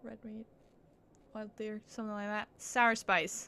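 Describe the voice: At medium pitch, a woman speaks in a clear, smooth tone that is also bright and sharp.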